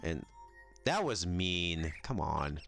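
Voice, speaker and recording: Music plays in the background as a man speaks. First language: not English. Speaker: gaming YouTuber. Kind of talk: let's play commentary. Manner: halting, many fillers.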